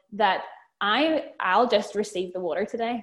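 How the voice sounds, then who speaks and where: A woman speaks with a Northern Irish accent in a fairly high voice. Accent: Northern Irish (Belfast). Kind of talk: casual chat. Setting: video call.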